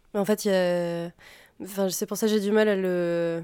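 Over a silent background on a very clean recording, a woman speaks at a fairly slow pace in a dark, mellow tone, her medium-pitched voice flat and monotone. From France, Auvergne. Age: 20s. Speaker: musician. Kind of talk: interview. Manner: halting.

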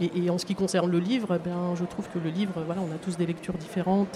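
A woman's medium-pitched voice at a very fast pace, with noticeable background noise. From France, Seine-et-Marne. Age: 50s. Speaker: municipal cleaning services worker, project proposer. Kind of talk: live radio interview. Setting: outdoor market, live broadcast. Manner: halting, many repetitions.

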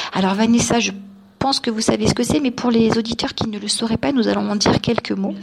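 Over noticeable background noise, a woman talks at a very fast pace, her loudness swinging widely. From France, Nice. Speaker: journalist and radio presenter. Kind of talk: radio interview.

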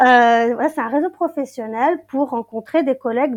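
A woman speaks in a normal speaking voice, fairly high in pitch with ordinary pitch variation. The sound is dry and close with no echo, and the background is quiet. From Brittany, Finistère. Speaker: English teacher. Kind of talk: interview.

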